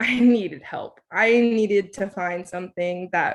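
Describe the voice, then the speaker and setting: A woman with a Californian accent speaks at a medium pitch, her voice showing ordinary pitch variation. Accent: American English, California. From Southern California (Oceanside, San Diego area), Thai-American family. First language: Thai. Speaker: scientist. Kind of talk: lecture. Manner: hesitant, many filler ums.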